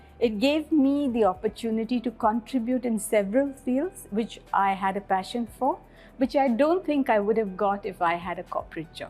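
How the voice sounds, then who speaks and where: Music plays in the background as a woman with an Indian accent speaks at a moderate pace, her fairly high voice carrying lively intonation. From India, Bangalore. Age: 60s. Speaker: school principal. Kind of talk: interview.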